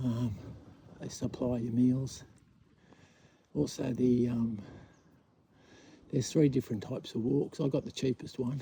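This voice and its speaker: With an Australian accent, a man speaks at a fairly slow pace and medium pitch, his dark, mellow tone somewhat breathy, his pitch varying in an ordinary way, and his long pauses coming often. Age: 60s. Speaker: vlogger. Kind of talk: casual walk-and-talk monologue. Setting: outdoors on a walking track. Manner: halting, with fillers.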